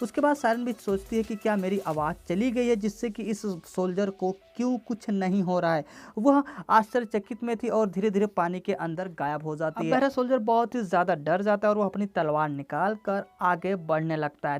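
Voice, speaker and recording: With music in the background, a woman speaks with hardly any pauses. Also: medium pitch for a woman, lively intonation, moderate pace. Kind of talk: film plot recap narration. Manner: casual, slangy.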